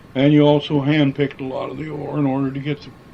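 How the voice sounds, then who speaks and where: A man speaks in a Midwestern American accent at a fairly high pitch. His intonation stays monotone and flat. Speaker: former miner. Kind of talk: oral history interview answer.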